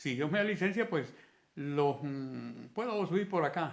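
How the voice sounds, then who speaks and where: A man at a very slow pace, with lively intonation. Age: 70s. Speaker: independent physics researcher. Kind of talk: video monologue. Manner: halting.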